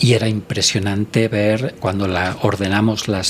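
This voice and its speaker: Over noticeable background noise, a man speaks at a very slow pace in a fairly low pitch with monotone, flat intonation. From Spain, rural coastal village. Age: 60s. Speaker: doctor and environmental researcher. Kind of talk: podcast interview.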